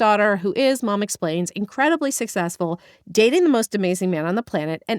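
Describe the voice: Plain reading aloud, its intonation lively.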